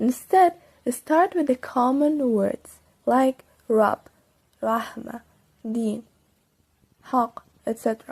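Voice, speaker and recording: Speaking at a very slow pace, a woman with a Persian accent uses a high pitch and lively intonation. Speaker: Quran learning YouTuber. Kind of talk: tutorial. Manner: animated.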